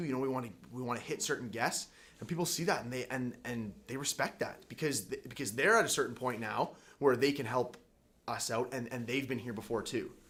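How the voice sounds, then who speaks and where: A man talks very fast in an animated tone. His pitch is medium, with ordinary variation. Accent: Canadian. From Canada, Winnipeg, Manitoba. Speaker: college hockey player and podcast host. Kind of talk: casual chat.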